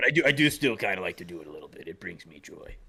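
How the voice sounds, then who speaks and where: This man uses a put-on character voice, raspy and raised to project. He talks at a very fast pace. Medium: actual play. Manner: rambling, casual.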